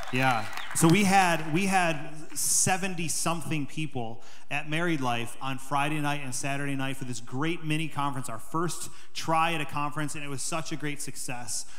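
Over crowd noise in the background, a man talks at a moderate pace with ordinary pitch variation. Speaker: pastor giving announcements. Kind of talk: sermon announcements. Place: church. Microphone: handheld.

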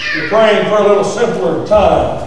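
A man's high-pitched voice at a moderate pace, with light background noise and strong room echo. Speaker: preacher. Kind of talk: sermon. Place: church.

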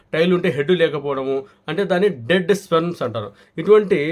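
Using a normal speaking voice, a man talks at a fairly high pitch with ordinary pitch variation. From Kadapa, Andhra Pradesh (Rayalaseema). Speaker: homeopathy and ayurvedic doctor. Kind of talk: health advice and sales pitch.

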